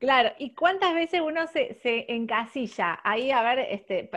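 Over a quiet background, a woman talks with lively intonation in a Rioplatense accent. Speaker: podcast host. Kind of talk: interview.

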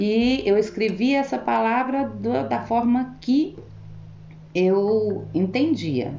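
Over audible room echo, a woman speaks at a very slow pace in a medium pitch, her voice making very wide pitch swings. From Brazil, Goiânia. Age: 40s. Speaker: cleaner. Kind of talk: interview.

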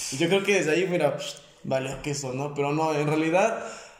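A man talks in a fairly high pitch, and audible room echo surrounds his voice. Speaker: sports podcast co-host. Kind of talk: casual chat.

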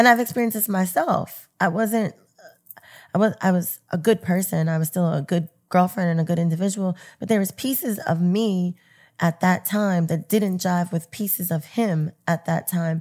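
In an unremarkable speaking voice, a woman talks at a medium pitch and a moderate pace, her pitch varying in an ordinary way. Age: 40s. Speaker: events and media professional. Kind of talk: casual interview chat.

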